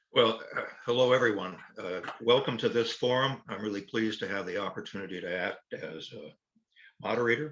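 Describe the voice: Speaking at a fairly quick pace, a man has a fairly low voice with ordinary pitch variation. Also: fairly bright tone.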